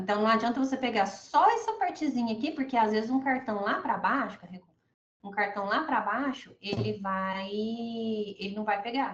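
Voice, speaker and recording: A woman speaks with ordinary pitch variation. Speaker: labor calculation expert teaching a class. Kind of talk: online class / software tutorial. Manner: fast; casual, filler-heavy.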